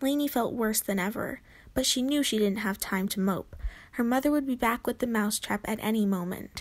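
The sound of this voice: This is an unforced reading voice. It carries through the clip.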